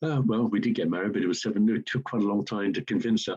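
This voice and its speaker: The man's fairly low voice sounds dry and close with no echo, over a quiet background. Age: 60s. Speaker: fundraising consultant. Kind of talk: webinar presentation. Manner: animated.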